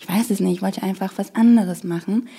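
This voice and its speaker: Her pitch medium and her intonation fairly even, a woman speaks at a very fast pace. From Morocco. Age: 20s. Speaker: political scientist and party staffer. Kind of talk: interview. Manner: hesitant, many fillers.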